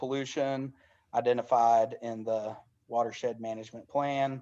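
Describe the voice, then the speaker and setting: In a Southern US accent, the speaker talks at a fairly slow pace with fairly even intonation against a quiet background. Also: man. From US South, Dade County, Georgia. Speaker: elementary school teacher and community organizer. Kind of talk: online information session presentation. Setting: video call. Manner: halting.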